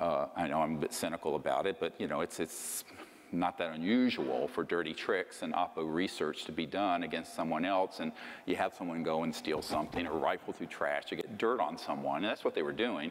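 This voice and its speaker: A man's speech comes at a fairly quick pace. Noticeable background noise can be heard throughout. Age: 60s. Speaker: lecturer on UFO secrecy. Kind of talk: lecture. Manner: casual, conversational with fillers.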